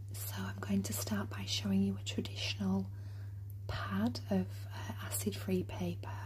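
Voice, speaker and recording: Whispering and soft-spoken, the speaker goes at a fairly slow pace over light background noise. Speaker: journal maker in a role play. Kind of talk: ASMR role play, soft-spoken appointment. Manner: soft-spoken, whispering. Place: home room.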